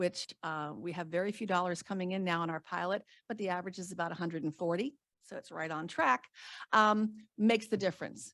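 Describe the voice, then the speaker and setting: A woman at a fairly low pitch and fairly quick pace, ordinary pitch variation, dry, close sound with no echo, and a very clean recording with a silent background. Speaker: state retirement program official. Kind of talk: conference talk. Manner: fast.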